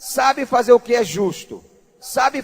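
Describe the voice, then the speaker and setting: This man's voice is extremely high in pitch, and he talks at a fairly slow pace. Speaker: pastor. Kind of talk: sermon.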